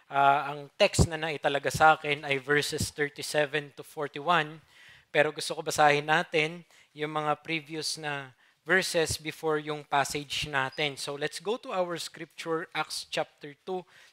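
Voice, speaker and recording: A man with a fairly high pitch and a bright, sharp tone speaks with monotone, flat intonation. His loudness swings widely, and the sound is dry and close with no echo. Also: fairly slow pace. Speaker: preacher. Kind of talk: sermon.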